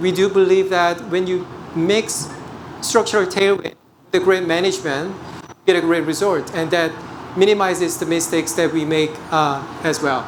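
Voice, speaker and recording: Fairly even intonation and a moderate pace in a Korean accent, with noticeable background noise. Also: man, high pitch for a man. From South Korea. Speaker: portfolio manager. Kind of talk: investment presentation. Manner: hesitant, frequent fillers.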